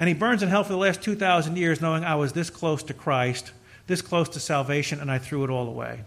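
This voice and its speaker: Speaking at a fairly quick pace, a man has an unremarkable speaking voice. His pitch is fairly high and varies in an ordinary way. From United States. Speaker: pastor. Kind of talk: sermon. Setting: church.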